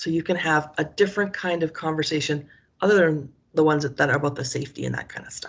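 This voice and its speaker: A woman talks at a very fast pace with a Canadian accent. The background is quiet. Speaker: education professor. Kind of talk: conference presentation. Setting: video recording on laptop. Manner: animated.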